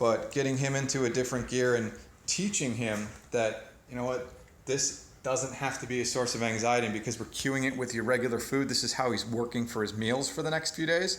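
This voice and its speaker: Amid audible room echo, a man speaks at a fairly quick pace in a medium pitch with ordinary pitch variation. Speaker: dog trainer. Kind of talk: training demonstration.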